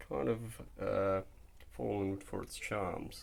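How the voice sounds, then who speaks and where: A man's voice with audible room echo. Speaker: car enthusiast vlogger. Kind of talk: casual video walkthrough. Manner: casual with frequent fillers.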